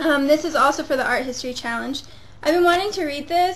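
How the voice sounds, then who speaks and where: A woman talks with ordinary pitch variation. Noticeable background noise can be heard. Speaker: book blogger. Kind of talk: casual vlog, showing library books. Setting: home, webcam recording. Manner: fast.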